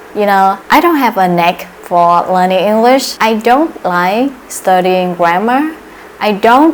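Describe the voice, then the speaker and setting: A woman speaks fairly slowly at medium pitch. Background noise is noticeable. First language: not English. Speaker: English learner youtuber. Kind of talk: casual vlog talk to camera.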